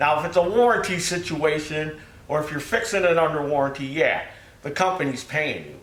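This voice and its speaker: The voice moves at a fairly quick pace with lively intonation. Audible room echo and noticeable background noise are present. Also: man. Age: 60s. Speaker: small engine repair shop owner. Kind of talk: casual video commentary. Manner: folksy, conversational.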